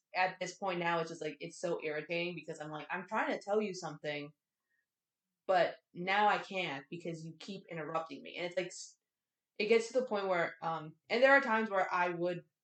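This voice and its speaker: A woman's medium-pitched voice with an American accent and ordinary pitch variation. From Texas. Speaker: podcast co-host. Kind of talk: casual chat. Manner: fast.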